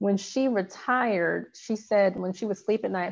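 A woman talks at a fairly slow pace and medium pitch, with ordinary pitch variation, in an ordinary speaking voice. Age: 40s. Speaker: law enforcement public information officer. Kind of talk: interview.

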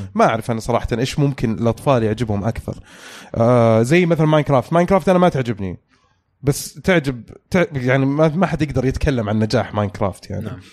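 Lively intonation marks the man's very fast delivery. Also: medium pitch for a man. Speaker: podcast host. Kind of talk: casual chat. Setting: studio.

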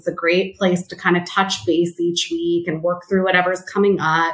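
In an American accent, a woman talks at a fairly low pitch. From Los Angeles, California. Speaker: therapist. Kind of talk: interview conversation.

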